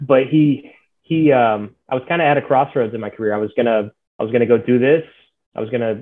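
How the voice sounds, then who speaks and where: With an American accent, a man talks in an unremarkable speaking voice at a medium pitch with ordinary pitch variation. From Texas (Dallas area). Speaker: aerospace engineer. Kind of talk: interview.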